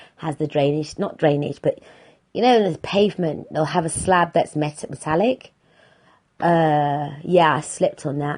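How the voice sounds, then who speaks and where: A woman with a British accent speaks in a dark, mellow tone, her intonation fairly even. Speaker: podcast host. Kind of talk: casual monologue.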